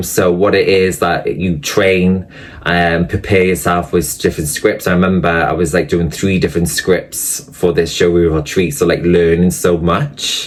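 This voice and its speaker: A man with a Welsh accent speaks fairly slowly in a very deep, low voice. Noticeable background noise runs under the recording. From Wales. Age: 30s. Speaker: actor and online creator. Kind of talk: interview. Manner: hesitant, many fillers.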